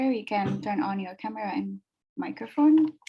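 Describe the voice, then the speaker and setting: A woman speaks at a moderate pace in a fairly high pitch, her dark, mellow tone somewhat breathy, with an Indonesian accent. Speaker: webinar moderator. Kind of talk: webinar moderation. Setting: video call.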